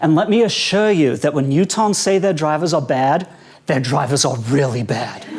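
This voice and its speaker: A man with a South African accent speaks at a moderate pace, his pitch swinging very widely. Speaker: stand-up comedian. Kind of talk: stand-up. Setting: stage with audience at a conference.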